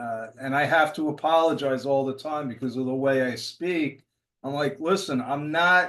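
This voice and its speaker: A man speaks in a New York accent at a fairly slow pace. His pitch is fairly high, with ordinary variation. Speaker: workshop participant. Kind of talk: casual discussion. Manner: intense, sounds angry to others.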